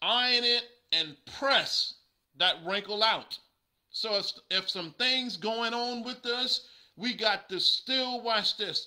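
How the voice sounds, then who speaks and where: Against a quiet background, a man raises and projects an extremely high-pitched voice with a bright, sharp tone at a very slow pace. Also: ordinary pitch variation. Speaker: preacher. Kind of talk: sermon. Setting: livestream. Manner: animated. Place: home room. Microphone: webcam.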